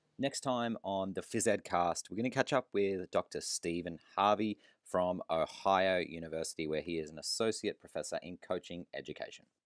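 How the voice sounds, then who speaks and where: A man with an ordinary speaking voice, pitched fairly low with ordinary pitch variation, talks at a moderate pace with hardly any pauses, in a dry, close, very clean recording with no echo and a silent background. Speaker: podcast host and physical educator. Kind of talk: casual interview.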